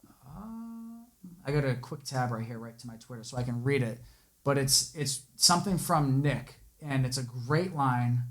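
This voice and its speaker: In a somewhat breathy voice, a man talks at a medium pitch. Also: big swings in loudness. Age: 20s. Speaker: podcast host. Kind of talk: casual chat. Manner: hesitant, many fillers.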